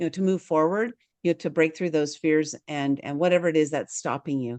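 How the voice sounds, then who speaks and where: In a dry, close recording with a quiet background, a woman speaks fairly quickly at a very deep, low pitch with ordinary pitch variation. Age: 60s. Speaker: author and publisher. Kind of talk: interview conversation.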